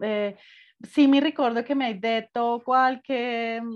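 Against a quiet background, a woman with a Spanish accent speaks very slowly at a fairly high pitch with fairly even intonation. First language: Spanish (speaking Italian). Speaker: podcast host. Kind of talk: casual chat.

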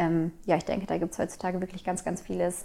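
Medium-pitched woman's voice with a dark, mellow tone and monotone, flat intonation. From Germany, East Westphalia (Minden area). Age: 20s. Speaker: midwife. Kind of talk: casual interview. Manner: hesitant with many fillers.

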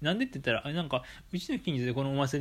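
Here a man speaks at a very fast pace in a fairly high pitch. His voice is somewhat breathy. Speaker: podcast host. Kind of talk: casual monologue. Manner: hesitant, many fillers.

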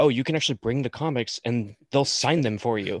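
In a General American accent, a normal speaking voice moves at a fairly quick pace with ordinary pitch variation, its dry, close sound free of echo against a quiet background. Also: man. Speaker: podcast host. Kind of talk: casual chat. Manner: casual, filler-heavy.

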